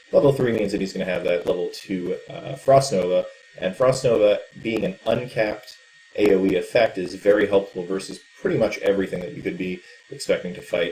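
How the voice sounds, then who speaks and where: A man speaks at a moderate pace, and noticeable noise can be heard behind him. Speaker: esports caster. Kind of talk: live game commentary.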